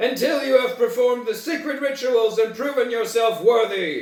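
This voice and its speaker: A man's shrill, extremely high put-on character voice with a slight echo. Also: moderate pace. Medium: read story.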